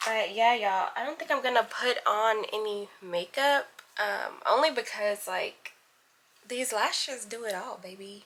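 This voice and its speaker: Speaking at a fairly slow pace with a fairly high pitch, a woman with an American accent shows ordinary pitch variation and big swings in loudness against noticeable background noise. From New York City, Brooklyn. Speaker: vlogger. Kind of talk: casual vlog chat. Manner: animated.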